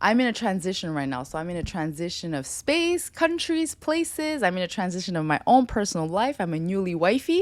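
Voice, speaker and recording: A woman speaks in an animated tone at a fairly quick pace, with hardly any pauses. Her pitch sits mid-range for a woman but swings very widely. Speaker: lifestyle podcast host. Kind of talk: solo monologue to camera. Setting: home studio. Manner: fast.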